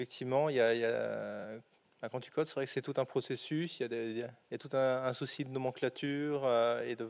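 Here a man talks at a fairly quick pace and medium pitch. His intonation stays monotone and flat. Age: 30s. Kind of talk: panel testimony.

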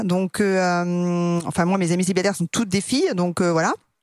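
The recording is very clean with a silent background. At a fairly slow pace, an unremarkable speaking voice carries on. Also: woman, dry, close sound with no echo. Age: 40s. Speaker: dating podcast guest. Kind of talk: recorded personal statement; casual chat.

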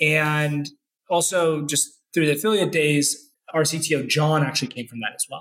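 A plain, everyday voice, this man speaks with an American accent at a fairly high pitch, with fairly even intonation at a moderate pace. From US South, Florida (Orlando). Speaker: tech executive. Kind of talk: casual interview.

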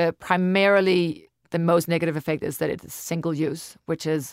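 In a Danish accent, a woman talks with a fairly low pitch and ordinary pitch variation, heard as a dry, close sound with no echo on a very clean recording with a silent background. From Denmark. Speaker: podcast co-host and business co-founder. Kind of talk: casual chat.

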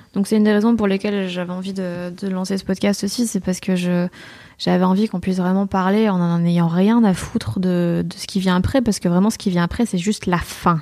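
A woman speaks at a fairly quick pace in a medium pitch. Her tone is dark and mellow, with fairly even intonation. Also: very clean recording, silent background. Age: 20s. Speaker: comedian and radio columnist. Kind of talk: casual interview. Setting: at home.

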